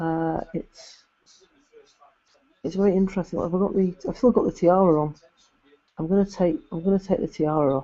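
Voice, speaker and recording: A man mumbles at a moderate pace. His pitch is high. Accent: English. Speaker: YouTuber doing alternative football commentary. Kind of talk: live stream chat reading viewer comments. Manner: halting, with frequent repetitions and fillers; mumbling.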